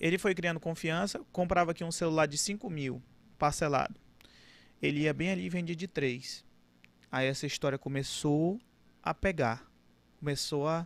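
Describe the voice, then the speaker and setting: A fairly high-pitched male voice with ordinary pitch variation, on a very clean recording against a silent background. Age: 20s. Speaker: car dealership owner. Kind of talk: casual interview.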